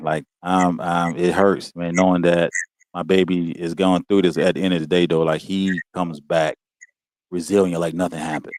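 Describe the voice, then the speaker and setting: In a very clean recording with a silent background, a man with an American accent speaks in a very deep, low voice at a moderate pace, his intonation flat and monotone, the sound dry and close with no echo. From US. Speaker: guest, father. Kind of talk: casual chat.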